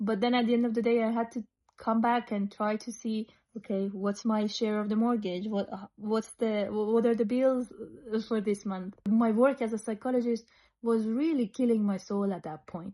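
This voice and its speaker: A woman with an Iranian accent speaks at a moderate pace in a fairly high pitch, her intonation fairly even. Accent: Iranian (Persian) accent in English. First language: Persian. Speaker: psychologist and creative wellbeing facilitator. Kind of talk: personal testimony. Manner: reflective, with hesitations and restarts.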